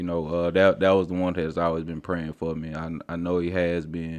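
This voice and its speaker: Against a quiet background, a man with a very deep, low voice talks at a moderate pace with fairly even intonation. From Oklahoma, Tulsa. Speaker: testimony guest. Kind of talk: testimony.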